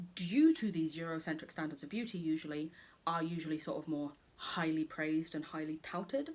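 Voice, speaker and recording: A woman with an English accent, very deep and low in pitch, at a fairly quick pace with fairly even intonation. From England. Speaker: beauty youtuber. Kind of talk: makeup tutorial. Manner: casual, chatty.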